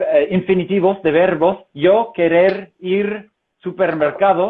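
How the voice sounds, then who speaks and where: Speaking at a very slow pace, a man talks with a slight non-native accent. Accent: good Spanish accent, slight foreign tones. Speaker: professional translator. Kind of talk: casual interview chat. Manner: hesitant, many fillers.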